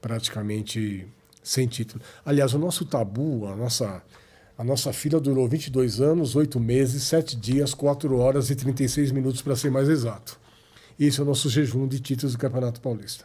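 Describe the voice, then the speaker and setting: Somewhat breathy and dark, mellow in tone, a man talks at a moderate pace in a medium pitch with fairly even intonation. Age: 60s. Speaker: football club historian. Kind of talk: podcast interview.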